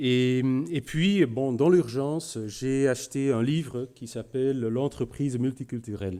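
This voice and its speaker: With a Flemish accent, a man speaks very slowly in a dark, mellow tone at medium pitch with ordinary pitch variation. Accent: Flemish Belgian accent in French. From Flanders, Belgium. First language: Dutch (speaking French). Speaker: business executive. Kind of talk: conference talk. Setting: room with audience. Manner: halting, many hesitations.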